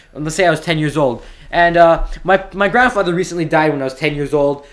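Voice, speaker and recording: This man has a fairly high pitch and ordinary pitch variation. He talks at a fairly quick pace. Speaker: YouTube storyteller. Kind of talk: casual storytime monologue. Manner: rambling, hesitant with repeats.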